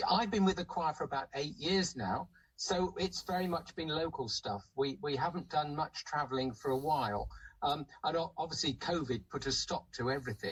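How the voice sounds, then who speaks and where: A man with a fairly high pitch talks at a moderate pace, his lively intonation edged with vocal fry. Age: 70s. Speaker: choir member and recruiter. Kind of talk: radio interview. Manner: halting.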